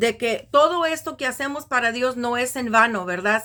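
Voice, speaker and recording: Bright and sharp in tone, a woman's high-pitched voice moves at a fairly slow pace. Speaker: Bible teacher. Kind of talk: religious teaching. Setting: recorded video.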